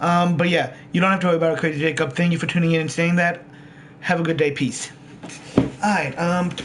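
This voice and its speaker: Noticeable background noise accompanies a man whose voice is high-pitched. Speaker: gaming live streamer. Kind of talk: live stream gameplay commentary. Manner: casual, with frequent ums and restarts.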